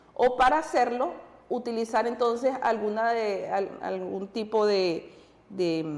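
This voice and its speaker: Audible room echo surrounds a woman's voice. She speaks at a fairly slow pace with a fairly high pitch. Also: ordinary pitch variation. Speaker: TV music program co-host. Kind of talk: educational TV talk show.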